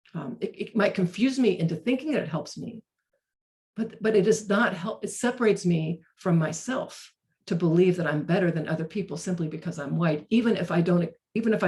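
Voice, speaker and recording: In an American accent, a woman talks fairly quickly at a fairly low pitch with ordinary pitch variation. Her voice is somewhat breathy, with a dark, mellow tone. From North Carolina, Chapel Hill. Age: 60s. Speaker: racial justice trainer. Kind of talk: webinar talk. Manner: halting, frequent repetitions.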